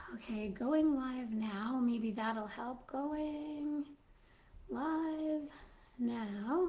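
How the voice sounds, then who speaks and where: Pitched high with a dark, mellow tone, a woman speaks at a very slow pace with ordinary pitch variation, and room echo is audible. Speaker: Mrs. Claus character livestreamer. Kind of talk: casual live stream chat. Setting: live stream.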